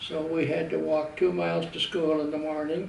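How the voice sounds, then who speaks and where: A man with a fairly high pitch at a moderate pace, over noticeable background noise. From Southwestern Ontario, Canada. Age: old. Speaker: Navy veteran. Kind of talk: personal life story, reminiscence.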